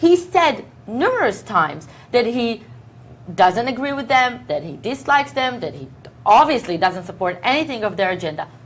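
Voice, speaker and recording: With an Israeli accent and an animated tone, a woman speaks at a moderate pace and fairly high pitch, swinging very widely in pitch and greatly in loudness over noticeable background noise. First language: Hebrew. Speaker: news talk show co-host. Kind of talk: heated political debate. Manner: animated, talking over the other speaker.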